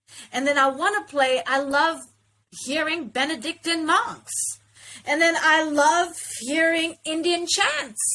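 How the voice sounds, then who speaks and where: In an American accent, a woman with an extremely high pitch and a bright, sharp tone uses a raised, projected voice at a fairly slow pace, with ordinary pitch variation and long, frequent pauses. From South Africa. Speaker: interview guest, actor. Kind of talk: casual interview conversation.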